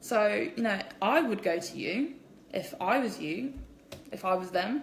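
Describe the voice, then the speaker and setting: With an English accent, a woman speaks in an animated tone at a fairly high pitch with lively intonation, amid audible room echo and noticeable background noise. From England. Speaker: direct sales distributor. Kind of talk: live social media Q&A. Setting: at home, live stream. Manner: kept quiet.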